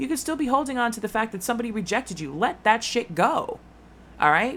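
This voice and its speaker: A woman's animated voice with very wide pitch swings. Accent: American. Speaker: tarot reader. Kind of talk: tarot reading. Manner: fast.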